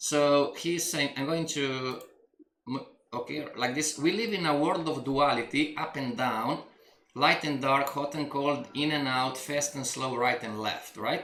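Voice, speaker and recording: A man talks with a non-native accent at a fairly high pitch. The room echo is audible. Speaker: coach. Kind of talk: coaching session reading from a book. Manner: halting, with repetitions and restarts.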